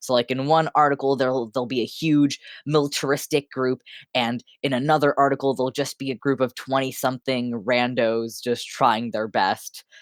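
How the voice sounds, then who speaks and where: A moderate pace on a very clean recording with a silent background. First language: French. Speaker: podcast host. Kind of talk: casual chat. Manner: hesitant, many fillers.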